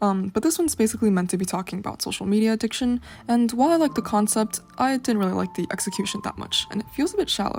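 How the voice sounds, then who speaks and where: Speaking at a very fast pace with hardly any pauses, a woman uses lively intonation at a fairly high pitch. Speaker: art student. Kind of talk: portfolio walkthrough narration. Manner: casual.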